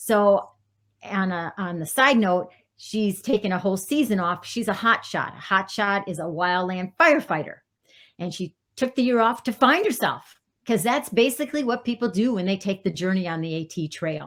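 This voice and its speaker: On a very clean recording with a silent background, a woman with an unremarkable speaking voice talks at a moderate pace in a medium pitch with lively intonation. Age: 60s. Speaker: career counselor. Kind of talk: podcast interview.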